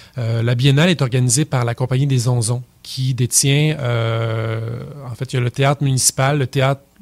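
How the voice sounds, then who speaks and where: A man with a Quebec accent speaks at a fairly slow pace in a somewhat breathy voice of medium pitch. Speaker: puppeteer, theatre company director. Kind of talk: radio interview answer. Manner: hesitant, many filler words.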